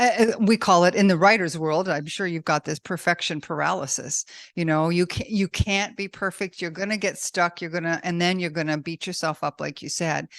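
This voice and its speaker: A woman with an ordinary speaking voice and a fairly low pitch talks over a quiet background, the sound dry and close with no echo. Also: ordinary pitch variation, fairly quick pace, hardly any pauses. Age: 60s. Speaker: podcast host and author. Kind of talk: interview.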